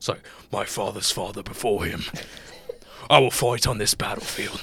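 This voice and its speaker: This is a put-on character voice with a raspy quality. It moves at a moderate pace. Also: man, medium pitch for a man. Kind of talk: archaic, heroic. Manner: epic, grandiose.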